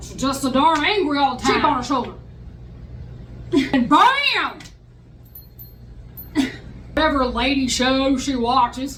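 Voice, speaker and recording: A female-sounding put-on character voice, gruff and high in pitch, moves at a moderate pace. Long, frequent pauses break it up, and echo is audible. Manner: stereotypical dude.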